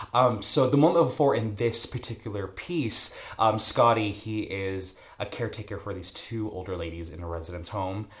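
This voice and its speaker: Somewhat breathy and fairly low in pitch, a man's voice carries lively intonation and big swings in loudness. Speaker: stage actor. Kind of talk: tutorial. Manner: fast.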